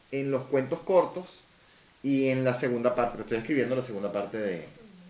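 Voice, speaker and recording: A man speaks in a Venezuelan accent. There is noticeable background noise. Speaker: science fiction novelist. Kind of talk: interview answer.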